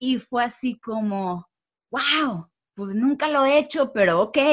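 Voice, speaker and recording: On a very clean recording with a silent background, a woman speaks very slowly with very wide pitch swings. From Mexico. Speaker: social media creator. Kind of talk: interview.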